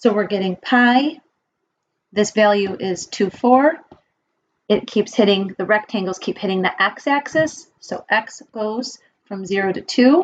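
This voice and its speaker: A woman speaks in an unremarkable speaking voice, her pitch fairly high with ordinary variation. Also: fairly slow pace. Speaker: math teacher. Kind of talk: lecture. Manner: casual.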